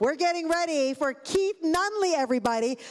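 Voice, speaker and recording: With a Chicago accent, a woman talks at a moderate pace in a high pitch and an animated tone. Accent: Chicago South Side. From Chicago, South Side. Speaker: master of ceremonies. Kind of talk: live event hosting. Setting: stage with audience.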